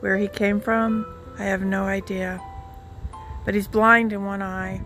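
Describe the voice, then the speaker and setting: A soft-spoken woman with an American accent, medium-pitched and monotone with flat intonation, at a fairly slow pace over music in the background. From Southern California. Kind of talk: casual vlog talk to camera. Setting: outdoors. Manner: dramatic.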